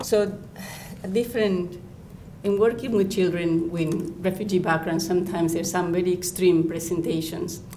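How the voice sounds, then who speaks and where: Someone with a non-native accent speaks at a fairly slow pace in a monotone, flat intonation, with long, frequent pauses and audible room echo. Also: woman. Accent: noticeable foreign. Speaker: children's counsellor. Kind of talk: lecture.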